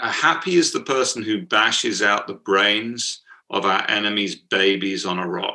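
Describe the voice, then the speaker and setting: In a British accent, a man speaks at a fairly low pitch and a fairly slow pace, with a bright, sharp tone and ordinary pitch variation. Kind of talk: interview, casual. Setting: video call.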